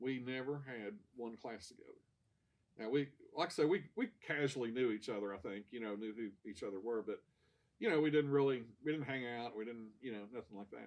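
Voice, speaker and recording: At a fairly quick pace, a man with an American accent speaks at medium pitch, with ordinary pitch variation and big swings in loudness. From Kentucky, US (Ashland). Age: 60s. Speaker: church member sharing testimony. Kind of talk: testimony. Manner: halting, many repeated words and fillers.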